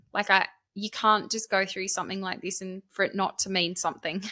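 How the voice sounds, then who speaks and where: A woman with an Australian accent speaks at a fairly quick pace in a bright, sharp tone with monotone, flat intonation, on a very clean recording with a silent background. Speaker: author and scam awareness speaker. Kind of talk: podcast interview.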